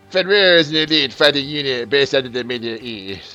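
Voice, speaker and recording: A man puts on a strained character voice in a French accent, at medium pitch, fairly quick pace and with lively intonation, as music plays in the background. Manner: pretentious.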